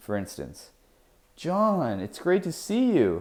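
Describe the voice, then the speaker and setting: The man's tone comes across dark and mellow. He talks fairly slowly. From Canada. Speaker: English teacher. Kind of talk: educational explanation to camera. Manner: clear, measured.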